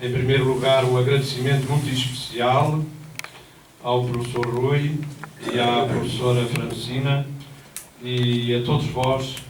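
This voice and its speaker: A man speaks at a fairly slow pace in a monotone, flat delivery. Noticeable background noise and audible room echo come through. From Portugal, Leiria district. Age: 70s. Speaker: priest. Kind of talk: public speech.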